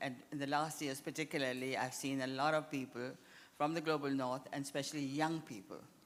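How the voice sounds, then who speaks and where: A woman speaks at a fairly quick pace in a very deep, low voice. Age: 80s+. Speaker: architect. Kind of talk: panel discussion. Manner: animated.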